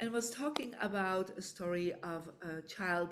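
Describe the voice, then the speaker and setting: Her pitch is medium for a woman, with ordinary pitch variation. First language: not English; English is third language. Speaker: feng shui teacher and author. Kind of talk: online book launch talk. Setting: online live event.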